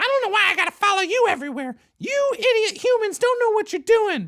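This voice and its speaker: A put-on character voice rattles along at a very fast pace with an extremely high pitch. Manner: bickering, grumpy.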